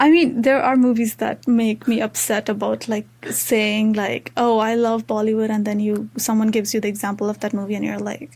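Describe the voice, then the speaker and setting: With an Indian accent, the speaker moves at a fairly quick pace with hardly any pauses and fairly even intonation. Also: woman, fairly high pitch for a woman. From Nepal, Terai region. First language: Maithili. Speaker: university student. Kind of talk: casual interview chat. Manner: many fillers and false starts.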